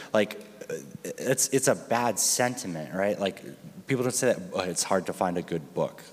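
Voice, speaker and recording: Speaking at a medium pitch, a man is heard over noticeable background noise. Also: moderate pace. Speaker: panel moderator. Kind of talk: conference panel discussion. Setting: stage with audience. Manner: loud.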